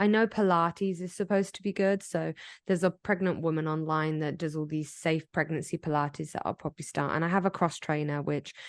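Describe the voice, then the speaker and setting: A woman with an English accent, fairly low-pitched and fairly even in intonation, at a fairly quick pace with hardly any pauses, in a dry, close recording with no echo and a quiet background. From England. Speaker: podcast co-host. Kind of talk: casual chat.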